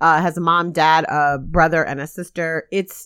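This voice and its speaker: Over a very clean recording with a silent background, a woman with an unremarkable speaking voice talks at a fairly low pitch and a moderate pace. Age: 40s. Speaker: podcast host, organizer. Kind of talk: casual chat.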